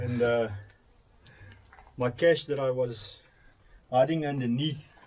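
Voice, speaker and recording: A man with a South African accent and fairly even intonation. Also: medium pitch for a man, fairly slow pace. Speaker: urban explorer. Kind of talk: casual chat.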